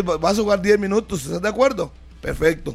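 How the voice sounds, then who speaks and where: A man speaks at a fairly quick pace while noticeable background noise is heard. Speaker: sports radio host. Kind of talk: sports talk radio.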